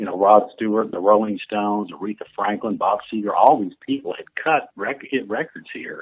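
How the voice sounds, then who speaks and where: A man with an American accent and an unremarkable speaking voice talks at a moderate pace and fairly low pitch, with ordinary pitch variation, big swings in loudness and hardly any pauses. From northern Illinois (Quad Cities). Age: 60s. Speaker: retired country musician. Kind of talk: interview.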